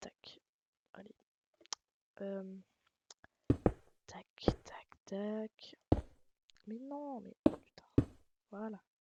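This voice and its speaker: Speaking very slowly with long, frequent pauses, a woman uses a fairly high pitch and a dark, mellow tone, with ordinary pitch variation, big swings in loudness, and a dry, close sound with no echo. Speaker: gaming YouTuber. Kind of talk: tutorial. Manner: hesitant, many fillers.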